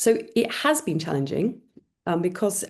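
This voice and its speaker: A somewhat breathy voice at a moderate pace, with very wide pitch swings. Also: woman. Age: 60s. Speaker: adoptive parent, panel guest. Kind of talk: panel talk. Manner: halting.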